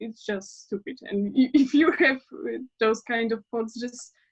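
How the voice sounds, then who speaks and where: A woman speaks at a fairly slow pace. Her voice is fairly high and somewhat breathy. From Poland. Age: 20s. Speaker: interview guest. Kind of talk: interview. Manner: halting.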